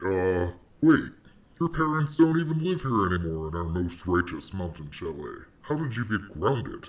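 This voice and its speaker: A man uses a put-on character voice at a fairly low pitch. His pitch swings very widely. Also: moderate pace. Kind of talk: comedy parody show host. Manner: boastful, hyped.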